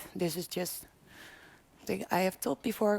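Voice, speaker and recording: A woman speaks in a Dutch accent. The recording is very clean, with a silent background. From Netherlands. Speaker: PhD candidate. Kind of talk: conference presentation. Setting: conference room with audience.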